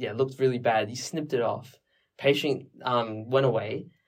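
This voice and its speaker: A man speaks in an ordinary speaking voice at medium pitch. His pace is fairly quick and his intonation fairly even. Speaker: medical student podcast co-host. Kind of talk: casual educational discussion.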